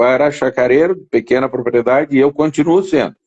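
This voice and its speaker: A man is talking. The sound is dry and close, without any echo. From southern Brazil, Rio Grande do Sul (Jaguarão, Uruguay border). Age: 60s. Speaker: interview guest sharing life story. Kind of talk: casual interview. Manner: halting, many repetitions.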